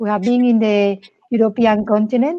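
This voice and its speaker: A woman's fairly high, dark and mellow voice with a Spanish accent. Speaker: insights executive, show host. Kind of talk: casual interview chat.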